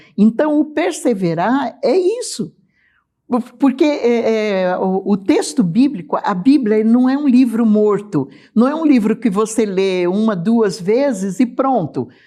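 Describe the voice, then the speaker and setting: A woman's fairly high voice, dark and mellow in tone, with lively intonation at a fairly slow pace. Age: 60s. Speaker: church teacher. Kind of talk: bible study discussion. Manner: halting.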